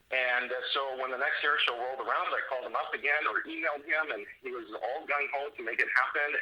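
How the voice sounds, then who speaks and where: Very fast speech with hardly any pauses over noticeable background noise. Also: man. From Canada, Abbotsford, British Columbia. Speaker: airshow announcer. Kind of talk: interview answer. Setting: podcast recording.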